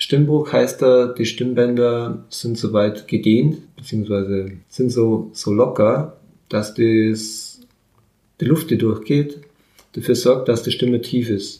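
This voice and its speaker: Speaking very slowly, a man with a dark, mellow tone keeps his intonation fairly even. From Bavaria, Burghausen area. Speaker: interviewee sharing her life story. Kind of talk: interview. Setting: at her home.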